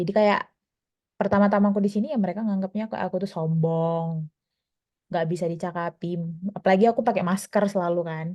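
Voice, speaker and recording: In a Medan accent, a woman talks at a very fast pace broken by long, frequent pauses, her medium pitch and fairly even intonation paired with a dark, mellow tone. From Medan, North Sumatra, Indonesia. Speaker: medical resident doctor, small-group member. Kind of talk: casual sharing in small group. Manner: casual, halting with fillers.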